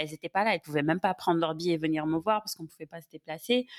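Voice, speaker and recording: A woman's fairly low voice with ordinary pitch variation, in a very clean recording with a silent background and a dry, close sound with no echo. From Senegal. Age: 30s. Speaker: podcast guest. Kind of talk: casual chat.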